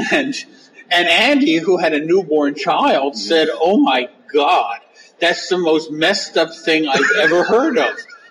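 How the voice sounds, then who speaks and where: Amid noticeable background noise, a man with a high pitch and very wide pitch swings speaks at a fairly slow pace with very even loudness. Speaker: comics and novel writer. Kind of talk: interview. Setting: on site at a comics convention.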